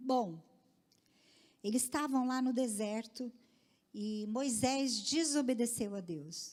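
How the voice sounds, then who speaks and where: The voice has a dark, mellow tone and lively intonation, delivered at a very slow pace. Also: woman. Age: 60s. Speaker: women's ministry speaker. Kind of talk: sermon.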